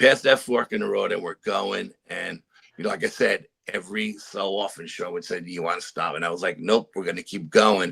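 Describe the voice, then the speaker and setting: Fairly quick speech from a man, his loudness swinging widely. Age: 60s. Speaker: paranormal adventurer, storyteller. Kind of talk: interview storytelling.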